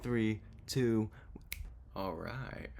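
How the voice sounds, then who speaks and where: With an American accent, a man is talking. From California. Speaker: YouTuber. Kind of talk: casual vlog. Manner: halting.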